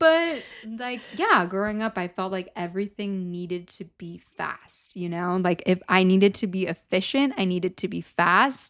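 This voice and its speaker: A woman talks at a medium pitch with ordinary pitch variation. She hardly pauses, and her loudness swings widely. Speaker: podcast co-host. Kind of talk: casual chat. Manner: slow.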